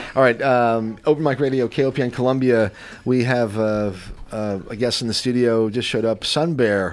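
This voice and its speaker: A man with a plain, everyday voice speaks at a moderate pace in a medium pitch, his pitch varying in an ordinary way. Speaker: radio host. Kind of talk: casual radio chat. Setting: radio studio.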